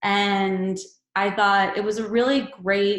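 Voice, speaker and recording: A woman's medium-pitched voice at a very slow pace. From US East Coast. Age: 20s. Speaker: yoga teacher and Reiki practitioner. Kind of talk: webinar talk. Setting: online webinar.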